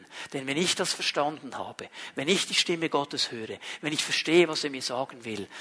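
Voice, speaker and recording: Over noticeable background noise, a man talks at a fairly quick pace, his fairly high pitch moving with ordinary variation. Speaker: pastor. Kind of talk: sermon. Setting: livestreamed church service.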